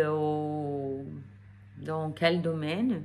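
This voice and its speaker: A woman speaks with a non-native accent, and audible echo from the room surrounds her voice. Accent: foreign accent in French. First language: not French (speaking French). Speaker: energy therapist. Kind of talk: casual vlog talk to camera. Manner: hesitant with many fillers.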